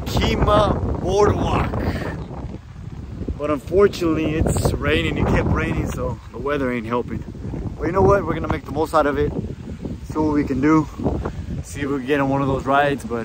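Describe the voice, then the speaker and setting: A man talking at a fairly quick pace with ordinary pitch variation, in dry sound with no echo, under loud background noise. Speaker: vlogger. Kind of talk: casual vlog chat. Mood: upbeat, mildly disappointed. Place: street. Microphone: phone near.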